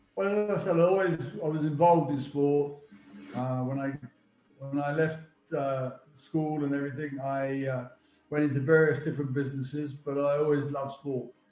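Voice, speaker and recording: A man's dark, mellow voice, fairly high in pitch, at a moderate pace with fairly even intonation, long, frequent pauses and audible room echo. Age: 70s. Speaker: football agent. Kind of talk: interview. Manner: halting.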